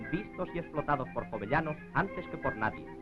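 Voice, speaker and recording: A man's solemn voice at a fairly quick pace, with very wide pitch swings and music in the background. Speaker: newsreel announcer. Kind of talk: documentary narration. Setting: 1940s film soundtrack. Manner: grandiose, solemn.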